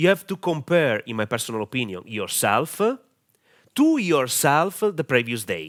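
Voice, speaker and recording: Over a very clean recording with a silent background, a man at medium pitch and a moderate pace makes very wide pitch swings, the sound dry and close with no echo. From Italy. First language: Italian. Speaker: online marketing coach. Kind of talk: tutorial. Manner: halting, many fillers.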